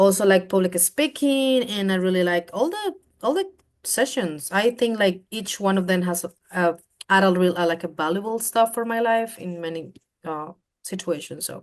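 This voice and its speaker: A Spanish accent marks this voice. It moves at a moderate pace. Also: woman, medium pitch for a woman, ordinary pitch variation. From Colombia. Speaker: program alumna. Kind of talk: interview. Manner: halting.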